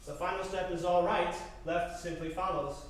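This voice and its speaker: Through noticeable background noise, a man with a high pitch talks at a moderate pace. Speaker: comedian. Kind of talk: live solo comedy performance.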